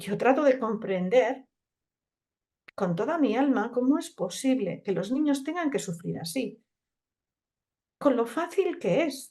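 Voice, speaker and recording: Pausing long and often, a woman with a high voice and a dark, mellow tone swings her pitch very widely. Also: fairly slow pace. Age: 60s. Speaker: naturopath. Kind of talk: conference talk in conversation. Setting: conference.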